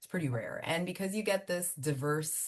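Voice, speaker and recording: A woman's fairly quick speech with ordinary pitch variation over a quiet background. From Miami, Florida (Cuban American family). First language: Spanish. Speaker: immigration attorney and law firm owner. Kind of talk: interview. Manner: casual, conversational.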